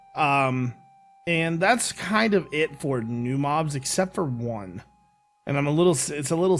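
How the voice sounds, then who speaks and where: Music plays behind a man whose fairly high voice carries lively intonation. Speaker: gaming YouTuber. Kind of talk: casual talk to camera.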